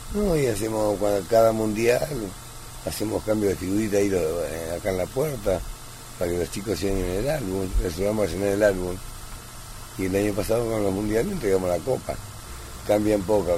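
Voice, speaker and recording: A man with a fairly low pitch and ordinary pitch variation speaks at a fairly quick pace, with long, frequent pauses. Noticeable background noise and audible room echo fill the recording. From Argentina, Luján (born in Italy, moved at four). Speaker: neighbourhood shopkeeper. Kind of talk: interview.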